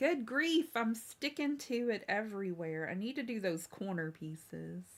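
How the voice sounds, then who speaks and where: In an American accent, a woman with a fairly high pitch speaks at a fairly slow pace in an animated tone with very wide pitch swings. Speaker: crafts live streamer. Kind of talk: casual live stream chat. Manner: chatty, animated.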